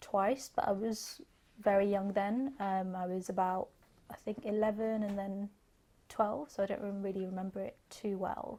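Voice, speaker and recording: Recorded very cleanly against a silent background, a woman with a London accent speaks at a medium pitch in a dark, mellow tone. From northwest London, England. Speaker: actor. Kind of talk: interview answer.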